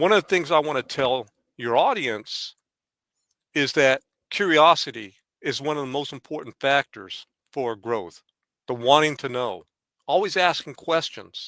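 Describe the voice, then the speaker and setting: With an American accent, a man speaks in a bright, sharp tone with lively intonation and long, frequent pauses, recorded very cleanly against a silent background with a dry, close sound and no echo. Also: moderate pace. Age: 70s. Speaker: martial artist and former Marine. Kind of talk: podcast interview. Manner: halting, many repetitions.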